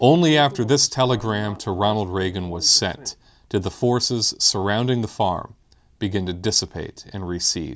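Recorded very cleanly against a silent background, a man with a plain, everyday voice speaks at a moderate pace. His pitch is fairly low and his intonation lively. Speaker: video narrator. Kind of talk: scripted political documentary narration. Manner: formal, measured, earnest.

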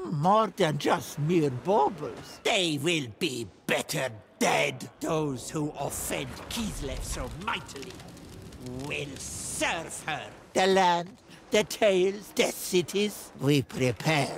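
A man puts on a character voice with a fairly high pitch and speaks very slowly. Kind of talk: video game voice lines. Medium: dub.

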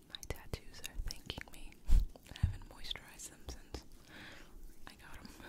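Whispering is all she does. The woman moves at a moderate pace. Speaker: ASMR creator. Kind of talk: ASMR whispering for sleep. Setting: home studio microphone. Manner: whispered. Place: home room. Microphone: studio mic.

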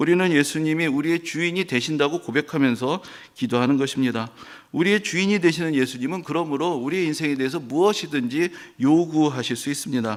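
A man's words pour out very fast. His voice sits fairly high, and its pitch moves in an ordinary way. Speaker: pastor. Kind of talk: sermon.

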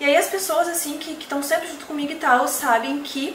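Audible room echo and light background noise surround the voice. A woman speaks at a high pitch. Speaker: beauty product seller. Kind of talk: casual vlog chat. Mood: warm, grateful, a bit emotional. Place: home room.

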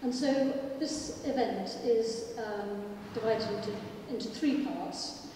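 A woman speaks at a fairly high pitch with long, frequent pauses. Strong room echo and light background noise surround her voice. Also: ordinary pitch variation, fairly slow pace. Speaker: heritage lobby organiser. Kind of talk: opening remarks. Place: hall.

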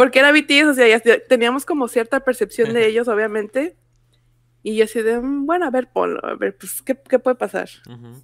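At a moderate pace, a woman speaks at a high pitch with ordinary pitch variation and big swings in loudness. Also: quiet background. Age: 20s. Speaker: graphic designer and fan artist; podcast guest. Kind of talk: casual chat. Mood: cheerful, relaxed. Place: home room. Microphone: video call.

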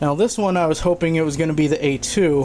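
There is light background noise. A man is speaking. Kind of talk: casual vlog chat, unboxing. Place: kitchen. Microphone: phone near.

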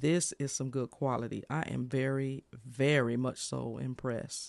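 In a dry sound with no echo, a man speaks with monotone, flat intonation. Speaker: streamer reviewing a microphone. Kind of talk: casual product review chat. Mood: pleased, impressed. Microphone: studio mic.

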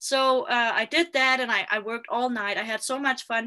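Speaking at a moderate pace, a woman uses a bright, sharp tone and fairly even intonation against a quiet background. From Denmark. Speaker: video marketing specialist. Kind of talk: interview guest, personal story. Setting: remote live video call. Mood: animated storytelling. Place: home room. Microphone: video call.

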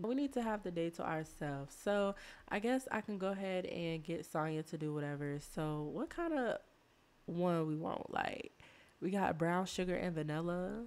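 A woman's fairly low voice at a moderate pace, slightly mellow, with a clear, smooth tone.

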